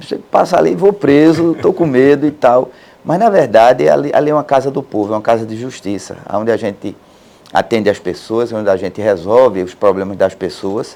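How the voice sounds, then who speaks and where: This man talks fairly quickly at a medium pitch with lively intonation. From Pernambuco backlands, Brazil. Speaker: court president, judge. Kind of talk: interview. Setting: studio. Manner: plain, easy-to-understand speech; halting with repetitions.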